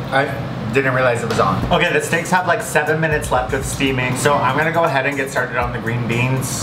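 Against music in the background, a man talks at a fairly quick pace. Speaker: home cook vlogger. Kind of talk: casual vlog chat. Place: kitchen. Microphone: camera far.

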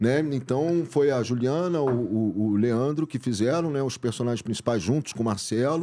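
Over light background noise, a man at medium pitch talks at a moderate pace in a dark, mellow tone, with hardly any pauses. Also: ordinary pitch variation. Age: 50s. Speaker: actor and director; podcast guest. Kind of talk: casual chat. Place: studio. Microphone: studio mic.

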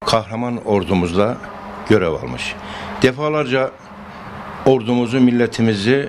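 Amid noticeable background noise, a man talks at a fairly slow pace with long, frequent pauses and ordinary pitch variation. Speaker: mayor. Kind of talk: public statement. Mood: proud, praising. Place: home room. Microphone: handheld.

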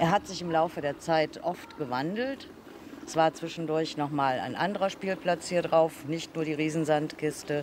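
A woman speaks at a moderate pace over noticeable background noise. Her pitch is fairly low for a woman, with ordinary variation. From Troisdorf, Rhineland, Germany. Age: 60s. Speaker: local resident. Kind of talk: interview answer. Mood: warm, nostalgic. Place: street.

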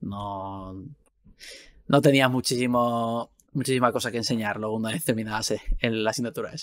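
With a plain, everyday voice, a man speaks at a moderate pace and medium pitch, his intonation fairly even, over a quiet background. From Spain, Valencia; Spain. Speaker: video game VFX artist and podcast host; podcast guest host. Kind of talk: casual chat. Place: home room.

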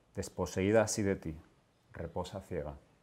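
Speaking at a fairly slow pace, a man with a very deep, low pitch uses a solemn tone and ordinary pitch variation. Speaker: poet reading his work. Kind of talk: poetry reading. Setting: literary event with audience. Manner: slow, halting, solemn. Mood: calm, solemn, unhurried. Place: home room. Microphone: lapel.

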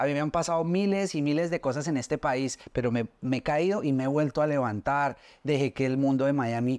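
A man talks at a moderate pace with hardly any pauses, his fairly high voice showing ordinary pitch variation. His loudness stays very even against a quiet background. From Colombia, Soacha near Bogotá; Colombia. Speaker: social media specialist and interviewer; interviewer. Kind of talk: casual interview. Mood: earnest, personal storytelling. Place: studio.

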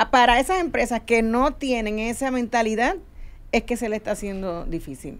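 Speaking at a moderate pace, a woman with a plain, everyday voice uses a fairly high pitch and lively intonation. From Puerto Rico. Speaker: HR consulting firm head; guest. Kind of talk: panel discussion. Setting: radio studio. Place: studio. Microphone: studio mic.

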